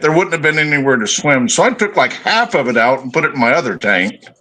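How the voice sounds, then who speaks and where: A man talks fairly quickly with lively intonation, noticeable noise sounding behind him. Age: 60s. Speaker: fishkeeping hobbyist showing their tank. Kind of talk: casual chat.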